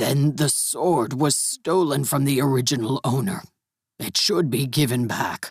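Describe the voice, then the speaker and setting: A man puts on a character voice, pitched fairly high and delivered at a moderate pace. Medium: read story. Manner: formal, stiff phrasing.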